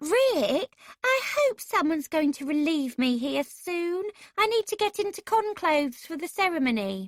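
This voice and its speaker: In a put-on character voice, a female-sounding speaker goes squeaky and whiny at an extremely high pitch, with very wide pitch swings, at a moderate pace. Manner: whining.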